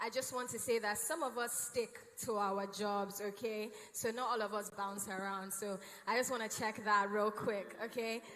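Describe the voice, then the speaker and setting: A woman with a fairly high pitch speaks at a moderate pace, with audible room echo. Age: 30s. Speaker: panel moderator. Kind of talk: panel discussion moderation. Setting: stage with audience. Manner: animated.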